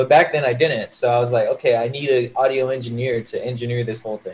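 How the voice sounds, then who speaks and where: Somewhat breathy, the man speaks at a medium pitch. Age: 20s. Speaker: rapper. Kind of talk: casual chat. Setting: video call. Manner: animated.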